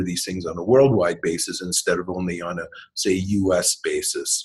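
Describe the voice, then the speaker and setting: A man with a Canadian accent speaks at a moderate pace in a very deep, low pitch, somewhat breathy. The background is quiet. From Canada. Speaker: MBA instructor. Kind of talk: online lecture walkthrough. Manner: hesitant, many ums.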